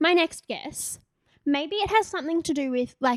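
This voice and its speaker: A woman with an Australian accent speaks at a fairly slow pace, with a dry, close sound and no echo. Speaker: podcast co-host. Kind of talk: casual chat.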